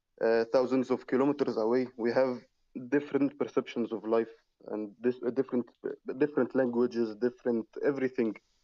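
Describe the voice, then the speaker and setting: Speaking fairly quickly with an Arabic accent, the voice has a dark, mellow tone and flat, monotone intonation, recorded dry and close with no echo. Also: man, medium pitch for a man. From Egypt. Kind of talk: online religious debate. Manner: halting.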